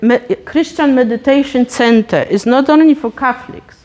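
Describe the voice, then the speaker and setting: A woman with a Polish accent speaks fairly slowly in a high pitch with lively intonation over noticeable background noise. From Poland. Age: 50s. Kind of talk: talk.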